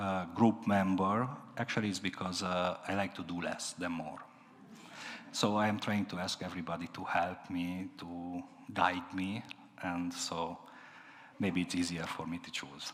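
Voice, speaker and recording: With audible room echo, a man with a very deep, low pitch talks at a fairly slow pace, leaving long, frequent pauses and showing big swings in loudness. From Transylvania, Romania. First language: Hungarian or Romanian (not English). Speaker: minister. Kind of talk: sermon. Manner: halting, many fillers and repetitions.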